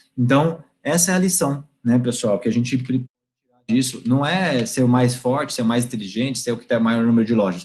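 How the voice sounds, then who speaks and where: A somewhat breathy male voice at medium pitch with lively intonation. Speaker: guest lecturer, IT company representative. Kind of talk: online lecture to university class. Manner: fast when excited; animated.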